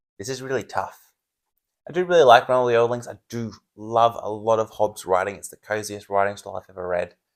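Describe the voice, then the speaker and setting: On a very clean recording with a silent background, a man with an Australian accent talks at a very fast pace and medium pitch, his loudness swinging widely. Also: ordinary pitch variation. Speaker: book reviewer, channel host. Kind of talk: casual chat.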